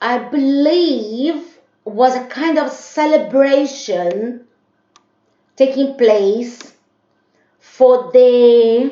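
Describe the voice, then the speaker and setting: A woman's high-pitched, very slow speech with a Brazilian accent and long, frequent pauses. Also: ordinary pitch variation. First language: Portuguese. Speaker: vlogger. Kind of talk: casual monologue vlog. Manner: hesitant, many fillers.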